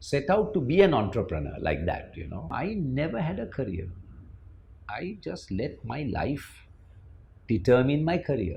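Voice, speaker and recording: Speaking at a fairly slow pace with long, frequent pauses, a man is heard in a room with audible echo. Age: 60s. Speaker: former managing director of an IT firm. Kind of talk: interview.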